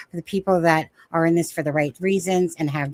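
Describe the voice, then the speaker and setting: A woman speaks with a fairly low pitch. The recording is very clean and close, with a silent background and a dry sound free of echo. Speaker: true crime livestream host. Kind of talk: casual panel chat. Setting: live stream. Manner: fast.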